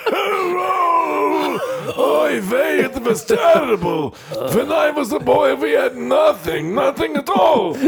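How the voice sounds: Over loud background noise, a put-on character voice speaks at a fairly slow pace. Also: man, extremely high pitch for a man.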